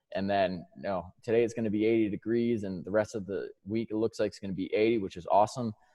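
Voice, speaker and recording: This speaker, with an American accent, talks at a very fast pace with fairly even intonation and hardly any pauses. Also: man, fairly low pitch for a man. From New York. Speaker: strength and conditioning coach. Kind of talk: presentation.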